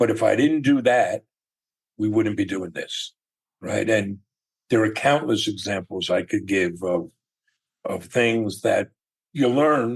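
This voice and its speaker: This man speaks at a very slow pace with long, frequent pauses. His pitch is medium and varies in an ordinary way. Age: 60s. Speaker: entrepreneur. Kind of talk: interview.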